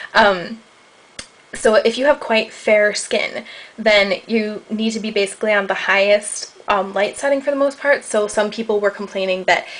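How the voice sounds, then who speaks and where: A woman with an American accent talks at a fairly quick pace in a fairly high voice. Her intonation stays fairly even, and there is noticeable background noise. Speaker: beauty vlogger. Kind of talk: product review vlog. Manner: casual, many fillers.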